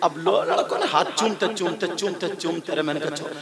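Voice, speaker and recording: Noticeable background noise behind a man speaking at a high pitch. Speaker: Islamic preacher. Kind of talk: religious sermon to a live gathering. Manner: emotional, storytelling.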